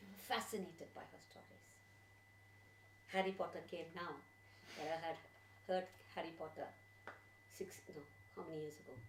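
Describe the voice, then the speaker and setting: With a Tamil accent, a woman talks at a fairly quick pace and fairly low pitch, using vocal fry, very wide pitch swings, big swings in loudness and long, frequent pauses, with audible room echo. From India, Tamil Nadu (Chennai). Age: 60s. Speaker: storyteller. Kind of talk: personal reminiscence to audience; storytelling performance.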